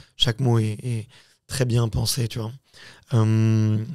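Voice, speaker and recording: A man with a dark, mellow tone speaks at a very slow pace in a very clean recording with a silent background. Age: 30s. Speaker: podcast host and founder. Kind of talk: casual chat. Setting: studio.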